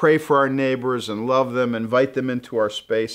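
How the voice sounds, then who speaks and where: The pace is moderate. A man talks over a quiet background. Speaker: church pastor hosting. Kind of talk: casual welcome talk to viewers. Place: studio.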